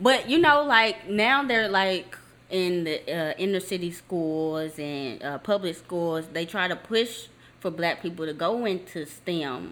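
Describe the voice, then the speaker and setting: A woman talks in an unremarkable speaking voice. Her pitch sits in the medium range. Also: lively intonation. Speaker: podcast host. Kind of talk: casual chat, interview.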